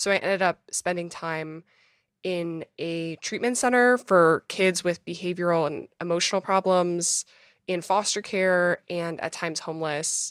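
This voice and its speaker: A woman with a plain, everyday voice and an American accent, fairly low in pitch with ordinary pitch variation, at a fairly slow pace, dry and close with no echo on a very clean recording with a silent background. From Minnesota. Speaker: memoirist and former foster youth. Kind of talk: interview.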